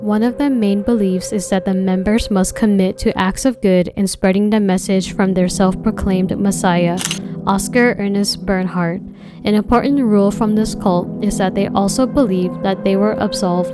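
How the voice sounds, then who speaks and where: A woman speaks at a moderate pace with fairly even intonation and very even loudness, with noticeable background noise. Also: medium pitch for a woman. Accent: American. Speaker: true crime YouTuber. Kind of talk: scripted narration.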